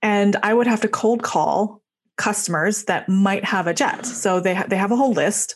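A woman's normal speaking voice at medium pitch and moderate pace, with ordinary pitch variation. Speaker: podcast host. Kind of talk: interview.

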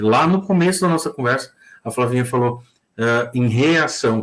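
On a very clean recording with a silent background, a man speaks at a moderate pace in a medium pitch, an ordinary speaking voice. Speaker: radio broadcaster, human behaviour specialist. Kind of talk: casual chat.

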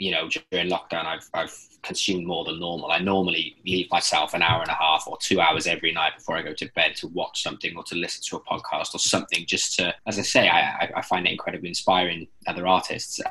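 A man with a low pitch speaks fast with few pauses, in a monotone, flat delivery and a bright, sharp tone with a slightly husky edge.

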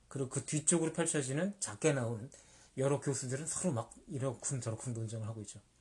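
Against a quiet background, a man speaks very fast at a fairly high pitch, sounding somewhat breathy. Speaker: podcast host, book reviewer. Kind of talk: casual chat about movies.

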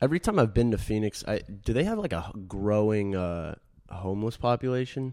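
A man's dark, mellow voice, fairly low in pitch, at a fairly quick pace with ordinary pitch variation. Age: 20s. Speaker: podcast co-host. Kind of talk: casual chat.

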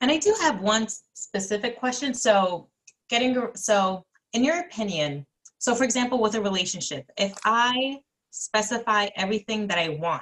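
Speaking in a normal speaking voice, a woman keeps a moderate pace, her fairly high pitch moving with lively intonation. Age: young. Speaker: co-interviewer. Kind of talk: casual chat.

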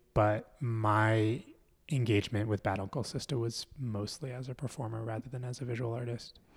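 Medium in pitch and somewhat breathy, a man talks at a moderate pace with fairly even intonation. The recording is very clean, with a silent background. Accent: American. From US, Philadelphia. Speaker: mask maker and performer. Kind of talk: casual interview conversation.

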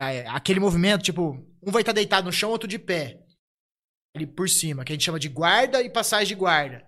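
Raising and projecting his voice, a man speaks at a fairly quick pace in a high pitch with lively intonation. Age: 30s. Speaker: jiu-jitsu fighter. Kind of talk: casual chat.

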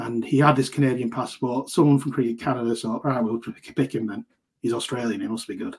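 Speaking with a Lancashire accent, a man sounds somewhat breathy at medium pitch. He keeps a fairly quick pace and fairly even intonation. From Lancashire, northern England. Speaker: cricket writer and associate cricket expert. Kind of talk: podcast interview.

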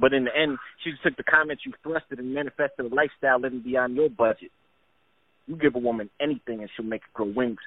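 With an American accent, a man at a medium pitch speaks at a very fast pace, his intonation fairly even while his loudness swings widely. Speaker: poet. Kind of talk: poetry reading.

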